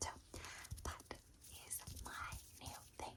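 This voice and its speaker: A woman whispers. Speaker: ASMR content creator. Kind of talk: ASMR whispered Q&A while doing makeup. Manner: whispered.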